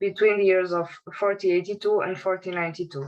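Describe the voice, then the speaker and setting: A woman with a Portuguese accent talks at a fairly quick pace, using medium pitch and fairly even intonation. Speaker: academic researcher. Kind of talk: conference presentation.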